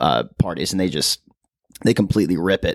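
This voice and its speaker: Very deep and low, a man's voice carries vocal fry and an animated tone, with a dry, close sound and no echo. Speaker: podcast co-host. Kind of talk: casual chat. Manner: animated, jokey.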